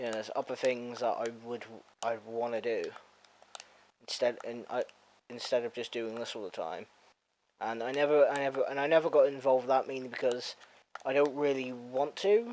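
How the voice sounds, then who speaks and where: Pausing long and often, a man speaks at a moderate pace and a medium pitch with ordinary pitch variation. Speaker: gaming YouTuber. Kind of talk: gameplay commentary. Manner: halting; mumbling.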